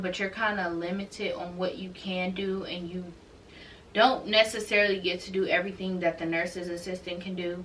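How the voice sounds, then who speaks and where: At a fairly quick pace, a woman speaks at a medium pitch in a monotone, flat intonation with big swings in loudness, audible room echo and noticeable background noise. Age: 20s. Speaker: YouTuber and nursing student. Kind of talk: casual vlog talk. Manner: conversational, with frequent fillers.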